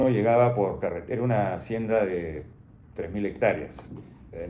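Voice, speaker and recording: With audible room echo, a man speaks at a fairly low pitch, his voice making very wide pitch swings. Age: 80s+. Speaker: retired doctor. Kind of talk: interview. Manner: halting.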